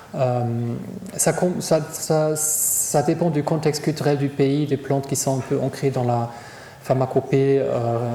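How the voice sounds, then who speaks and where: With a German accent, a man talks at a medium pitch and fairly even intonation, with noticeable background noise and audible room echo. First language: German (speaking French). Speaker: psychiatrist. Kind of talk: lecture Q&A. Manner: halting, many repetitions.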